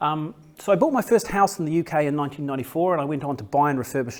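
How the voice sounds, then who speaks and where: Using lively intonation, a man with a fairly high pitch speaks with a New Zealand accent. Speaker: property developer. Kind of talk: business presentation. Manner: halting, many fillers and repeats.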